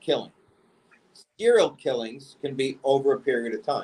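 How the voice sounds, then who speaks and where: A man speaks with a New York accent. His pitch sits fairly high. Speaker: podcast host. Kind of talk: casual chat. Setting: remote recording from home. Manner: animated.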